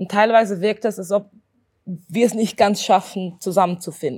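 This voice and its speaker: Very clean recording with a silent background of a woman at a medium pitch, moderate pace and fairly even intonation. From Switzerland, Zurich. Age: 20s. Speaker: doctoral researcher and anti-racism activist. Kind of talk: interview. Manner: halting.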